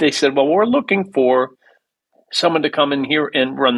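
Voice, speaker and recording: A man speaks with an Upper Midwest accent and a fairly high pitch. He keeps a moderate pace with ordinary pitch variation. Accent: Upper Midwest American. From US Midwest, Minneapolis. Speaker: musician. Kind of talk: interview. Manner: halting.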